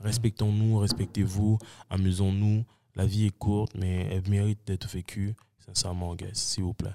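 On a very clean recording with a silent background and a dry, close sound with no echo, a man speaks at a fairly slow pace in a fairly low pitch, with a dark, mellow tone and a monotone, flat intonation. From Montreal, Quebec (Saint-Michel). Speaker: entrepreneur. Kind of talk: casual chat.

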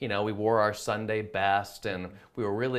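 A man has an unremarkable speaking voice at a medium pitch. He talks at a moderate pace. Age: 30s. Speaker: magician. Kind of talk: casual chat.

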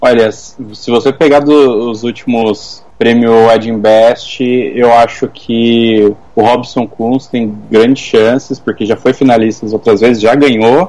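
Very slowly, a man of medium pitch speaks with fairly even intonation. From Brazil, Osasco (São Paulo). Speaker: photographer and commentator. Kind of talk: casual chat. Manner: halting, repeats words.

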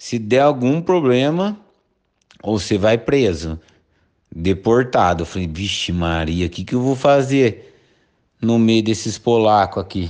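A medium-pitched man at a fairly slow pace, with long, frequent pauses. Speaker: brewer's brother. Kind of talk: storytelling.

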